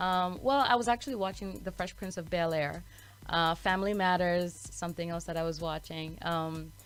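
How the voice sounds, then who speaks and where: A woman with a fairly low pitch and a slight Malawian accent speaks at a moderate pace with ordinary pitch variation. Music plays in the background. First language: Chichewa. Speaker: author and actress. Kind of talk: interview. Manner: careful enunciation.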